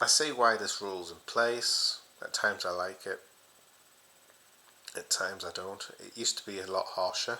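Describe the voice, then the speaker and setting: A man speaks quietly at a moderate pace. His loudness swings widely, and he takes long, frequent pauses. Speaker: football fan channel host. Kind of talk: casual solo vlog. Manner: speaking quietly.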